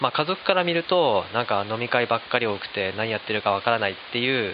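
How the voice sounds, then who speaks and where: A man speaks in a normal speaking voice at a medium pitch. His pace is fairly quick and his intonation lively. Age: 30s. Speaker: flour miller. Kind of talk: casual chat.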